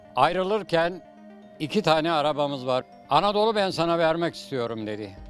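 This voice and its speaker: The pace is moderate, and faint music plays in the background. The sound is dry, with no echo. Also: man. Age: 80s+. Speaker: retired nurse. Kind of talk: casual interview answer, reminiscing. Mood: warm, nostalgic storytelling. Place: street. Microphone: handheld.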